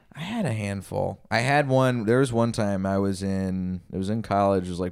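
A man with an unremarkable speaking voice and an American accent speaks at a fairly low pitch with ordinary pitch variation. His pace is moderate, and the recording is very clean with a silent background. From Texas. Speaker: comedian. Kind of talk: casual chat.

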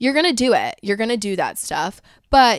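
A woman speaks with lively intonation on a very clean recording with a silent background and a dry, close sound with no echo. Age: 20s. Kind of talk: casual solo monologue. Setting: home recording in a trailer, on camera.

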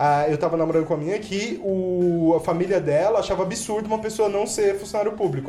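Noticeable background noise runs beneath fairly quick speech. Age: 30s. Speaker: entrepreneur, startup founder. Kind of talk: casual chat.

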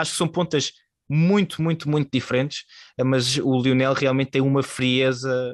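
This man talks at a moderate pace and medium pitch with very even loudness and fairly even intonation, recorded with a dry, close sound with no echo against a quiet background. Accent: European Portuguese. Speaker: podcast host. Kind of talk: casual sports discussion.

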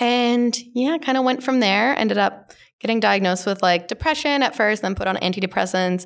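A woman with a Western Canadian accent speaks at a moderate pace, her loudness very even and her pitch varying in an ordinary way. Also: very clean recording, silent background. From Canada, small-town northern Alberta. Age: 20s. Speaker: mental health and LGBTQ speaker, grad student. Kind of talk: casual interview conversation. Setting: recorded on site at a conference.

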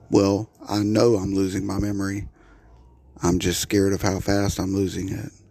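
A man's fairly low, shaky voice, flat and monotone, at a moderate pace. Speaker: solo podcaster ranting about his life. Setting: home recording with sirens audible outside. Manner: repetitive and halting, restarting words, a little shaky.

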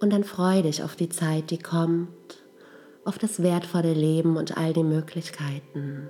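A calm, soothing tone at a very slow pace, with fairly even intonation. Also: woman, fairly low pitch for a woman. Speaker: meditation guide. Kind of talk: guided meditation. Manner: slow, calm, soothing; gentle, with long pauses.

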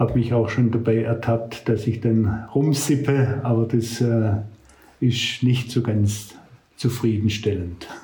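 A somewhat breathy man speaks at a very slow pace in a dark, mellow tone with monotone, flat intonation, and audible room echo around him. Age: 70s. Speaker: retired pastor. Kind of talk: casual chat.

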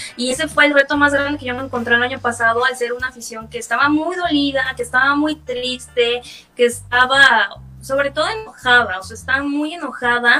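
With music in the background, a woman speaks in a raised, projected voice at a high pitch and a fairly quick pace, with ordinary pitch variation and big swings in loudness. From Mexico, Tabasco. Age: 20s. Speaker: social media manager of a baseball team. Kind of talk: interview.

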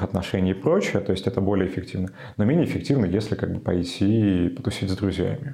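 Noticeable background noise accompanies a man speaking at a fairly quick pace and fairly low pitch. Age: 20s. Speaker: sociologist. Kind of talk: interview.

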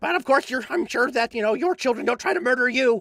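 A man in a put-on character voice, extremely high pitch, very fast pace. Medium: actual play. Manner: stammering, halting, repeats words.

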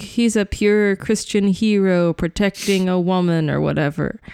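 A woman speaks in a plain, everyday voice at a medium pitch with fairly even intonation. The sound is dry and close, with no echo. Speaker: podcast guest. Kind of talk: casual chat.

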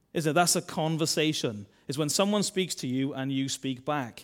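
A man speaks in a Welsh accent at a moderate pace. The recording is very clean, with a silent background. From Wales. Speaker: church minister. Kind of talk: sermon. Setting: church.

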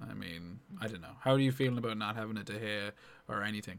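In an unremarkable speaking voice, a man talks with a fairly low pitch and ordinary pitch variation. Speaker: FPL podcast host. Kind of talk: casual chat about fantasy football.

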